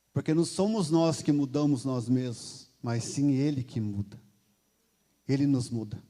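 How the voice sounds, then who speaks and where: Speaking at a fairly slow pace, a man has a fairly high voice with ordinary pitch variation and a dark, mellow tone. The recording is very clean, with a silent background. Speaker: lay preacher. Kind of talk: sermon. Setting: church.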